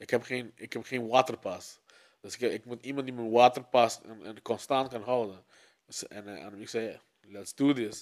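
Big swings in loudness mark a man's medium-pitched, monotone, flat speech at a fairly slow pace. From Aruba. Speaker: music producer. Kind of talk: casual chat.

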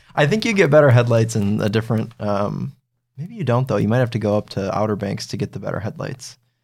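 A man's very fast speech with vocal fry on a very clean recording with a silent background. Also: medium pitch for a man, ordinary pitch variation. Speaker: car reviewer, podcast co-host. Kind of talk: casual chat.

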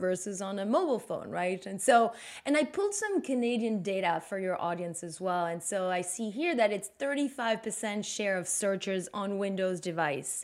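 With a Belgian French accent, a woman speaks at a moderate pace in a medium pitch with ordinary pitch variation, on a very clean recording with a silent background. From Belgium. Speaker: marketing executive. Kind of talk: interview.

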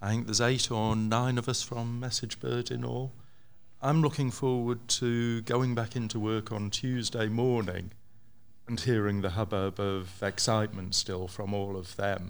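Fairly even intonation with audible room echo. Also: man, medium pitch for a man, moderate pace. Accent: English. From England. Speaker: developer. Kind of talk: panel discussion. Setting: stage with audience.

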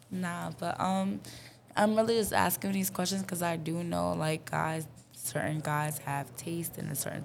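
Speaking at a moderate pace in a New York accent, a woman uses a very deep, low voice with very wide pitch swings. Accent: New York City. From New York City (Harlem, Bronx). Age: 20s. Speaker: content creator and artist. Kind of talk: casual chat.

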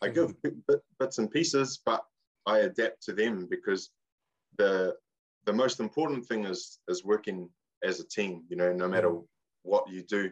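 With a New Zealand accent, a man speaks at a moderate pace broken by long, frequent pauses. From New Zealand, Far North. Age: 20s. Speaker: waka ama athlete and coach. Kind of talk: casual chat.

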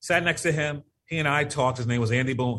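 Over a quiet background, a man races along at a very fast pace with ordinary pitch variation. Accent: American. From Connecticut, US (Norwalk). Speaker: community economic development leader. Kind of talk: interview.

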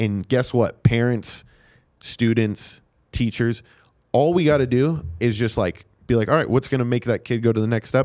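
In an American accent, a plain, everyday voice moves at a moderate pace with ordinary pitch variation, recorded very cleanly against a silent background. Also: man, medium pitch for a man. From Nevada, US. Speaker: special education teacher and sports announcer. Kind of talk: casual interview chat. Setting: studio.

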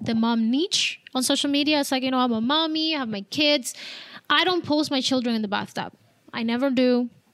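A woman speaks with a Spanish accent in a high voice. Her pace is moderate and her pitch varies in an ordinary way. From Cuba. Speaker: abuse survivor and mental health coach. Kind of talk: testimony.

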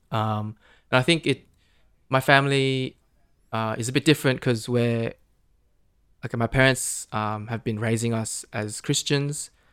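A man at medium pitch leaves long, frequent pauses, recorded very cleanly against a silent background with a dry, close sound and no echo. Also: fairly even intonation, fairly slow pace. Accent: Australian. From Australia. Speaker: podcast guest. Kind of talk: casual chat. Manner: halting.

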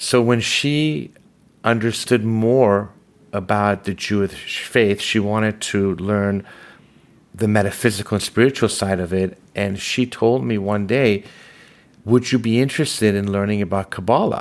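Speaking at a fairly slow pace with an American accent, a man uses a plain, everyday voice that sits fairly low with ordinary pitch variation. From Los Angeles, raised from age six after leaving Iran. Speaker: commercial real estate advisor and podcast host. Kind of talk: interview.

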